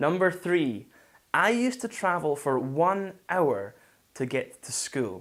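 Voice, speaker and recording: A man speaks in a Scottish accent at a very slow pace. His pitch swings very widely. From Scotland, Falkirk. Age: 20s. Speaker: English teacher. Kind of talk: online lesson monologue.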